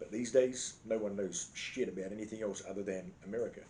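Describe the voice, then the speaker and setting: With an Australian accent, a man speaks at a fairly quick pace in a dark, mellow tone. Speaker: vlogger. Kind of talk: casual storytelling monologue. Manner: animated.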